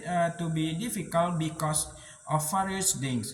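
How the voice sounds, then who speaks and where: Here is a man with an Indonesian accent. His pitch is high, with ordinary variation. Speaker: university student. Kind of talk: spoken monologue for English test. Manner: hesitant, many fillers.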